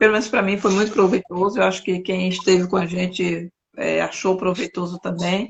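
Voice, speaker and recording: The speaker is a woman with fairly even intonation. She keeps a moderate pace. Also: medium pitch for a woman. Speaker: interviewer, talk show host. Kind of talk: interview conversation. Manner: halting, searching for words.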